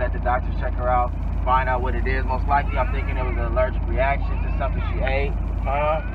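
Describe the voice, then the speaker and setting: A man talks at a very fast pace in a dry sound with no echo, with noticeable background noise behind him. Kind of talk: casual vlog chat.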